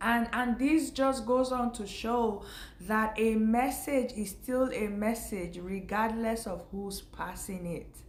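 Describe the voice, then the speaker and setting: Fairly high in pitch, a woman's somewhat breathy voice moves at a very slow pace with ordinary pitch variation. Audible room echo surrounds it. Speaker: faith vlogger. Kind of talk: casual spiritual talk to camera.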